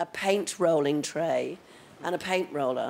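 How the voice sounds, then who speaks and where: Here a woman speaks with a British accent. Her pitch is fairly low and her intonation fairly even. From Britain. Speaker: makeup artist. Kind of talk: casual chat. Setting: studio.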